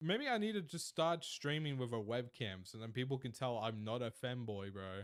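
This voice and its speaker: A man speaks at a moderate pace with a slight Australian accent, his pitch swinging very widely. The recording is very clean, with a silent background. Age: 20s. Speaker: streamer. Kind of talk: live stream chat. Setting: live stream. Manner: casual.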